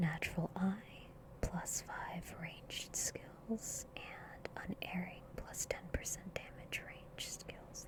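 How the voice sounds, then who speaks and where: Someone whispers at a very slow pace. Noticeable background noise sits behind the voice. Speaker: ASMR gaming YouTuber. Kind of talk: soft-spoken gaming commentary. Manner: soft-spoken, whispery.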